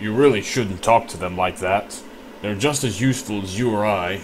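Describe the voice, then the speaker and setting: A put-on character voice from a man, fairly low-pitched, at a moderate pace, with clear background noise. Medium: read story.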